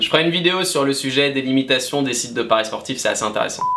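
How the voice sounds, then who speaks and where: At a fairly quick pace, a man with a fairly high pitch talks over noticeable background noise. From France, Nantes. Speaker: YouTuber on sports betting. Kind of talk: casual Q&A vlog.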